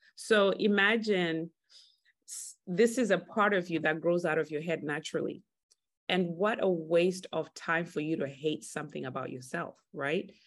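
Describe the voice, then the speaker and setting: A woman's fairly low-pitched voice, a plain, everyday voice, at a moderate pace, with an American accent and ordinary pitch variation, over a quiet background. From Texas. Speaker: hair care brand owner. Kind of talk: interview.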